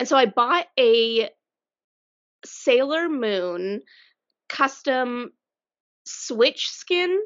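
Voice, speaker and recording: A woman's high voice at a very slow pace, with long, frequent pauses and lively intonation. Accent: Colorado. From Colorado. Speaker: podcast co-host. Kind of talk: casual chat.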